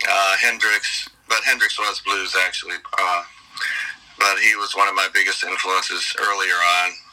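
A man with an American accent talks at a moderate pace. Noticeable background noise can be heard. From Detroit. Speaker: blues rock singer. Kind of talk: interview.

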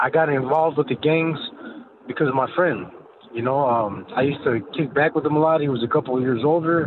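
A man with an American accent speaks at a moderate pace in a fairly high voice. His intonation stays fairly even, and background noise is noticeable. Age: 40s. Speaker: former cartel member. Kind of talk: testimony. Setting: phone call.

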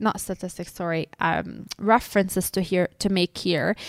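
A woman speaks at a moderate pace and a medium pitch with a bright, sharp tone. The recording is very clean with a silent background. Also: dry, close sound with no echo. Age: 30s. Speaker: podcast co-host and financial therapist. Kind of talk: casual educational chat.

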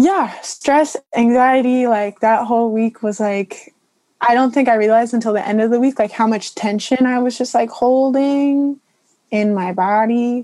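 Dark and mellow in tone, a woman's voice sits at a high pitch. She talks at a moderate pace with ordinary pitch variation. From Morro Bay, California. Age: 21. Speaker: college student, former swimmer. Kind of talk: casual group discussion.

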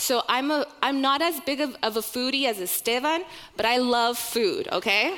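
Bright and sharp in tone, a woman with an American accent speaks at a high pitch with lively intonation. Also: moderate pace. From Oklahoma, US. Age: 30s. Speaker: church ministry director. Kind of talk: sermon.

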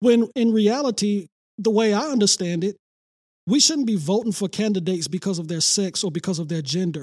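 In an American accent, a man talks at a high pitch and a fairly quick pace with lively intonation. The sound is dry and close, with no echo. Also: very clean recording, silent background. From Detroit, east side. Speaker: pastor. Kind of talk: podcast interview.

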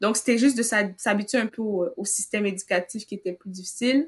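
An ordinary speaking voice against a quiet background. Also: woman. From Cameroon. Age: 20s. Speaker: university student. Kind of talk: interview.

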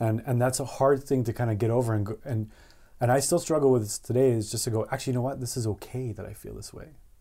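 A man with a Canadian accent talks at a very fast pace and medium pitch, his tone dark, mellow and somewhat breathy. His intonation is fairly even, his loudness swings widely, and the recording is very clean with a silent background. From Canada, Alberta (Edmonton). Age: 30s. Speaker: animator and studio co-founder. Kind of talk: casual interview.

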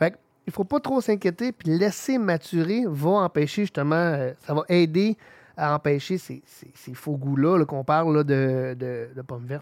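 An ordinary speaking voice moves at a fairly slow pace with lively intonation, in a dry, close sound with no echo. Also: man, fairly high pitch for a man. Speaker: homebrewing podcast host. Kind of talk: casual chat.

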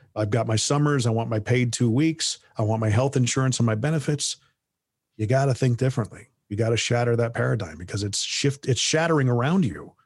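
Somewhat breathy, a man talks at a fairly quick pace and medium pitch with ordinary pitch variation over a quiet background. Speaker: voiceover artist and podcast host. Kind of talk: casual interview conversation.

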